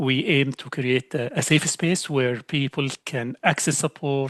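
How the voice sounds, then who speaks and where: A man with an Arabic accent speaks at a fairly high pitch with fairly even intonation, in a dry, close sound with no echo. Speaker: learning specialist, applied linguist. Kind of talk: panel discussion on a webinar. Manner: hesitant with filler and false starts.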